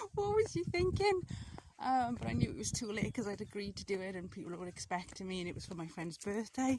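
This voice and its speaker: A woman with a Welsh accent talks at a very fast pace with big swings in loudness, and background noise is noticeable. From South Wales. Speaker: mixed media artist. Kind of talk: casual vlog storytelling. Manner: hesitant, many fillers.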